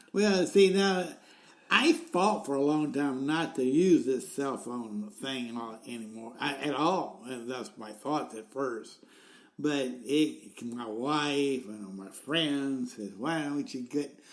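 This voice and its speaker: Very slow and in a Southern US accent, this speaker uses lively intonation with big swings in loudness. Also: man, fairly high pitch for a man. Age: 70s. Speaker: podcast co-host. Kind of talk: casual chat.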